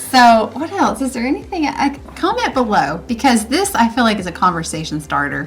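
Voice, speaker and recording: Against noticeable background noise, a woman with a Southern accent talks at a fairly quick pace and fairly high pitch, her voice making very wide pitch swings. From North Carolina, rural Catawba County area. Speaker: YouTube host. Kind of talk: casual chat.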